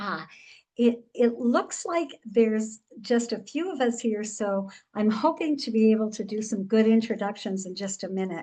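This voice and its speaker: A dark, mellow, somewhat breathy tone over a quiet background. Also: woman, fairly high pitch for a woman, ordinary pitch variation, moderate pace. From Pakistan. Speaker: nurse and cross-cultural trainer. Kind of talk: webinar presentation. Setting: video call. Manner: toned down volume.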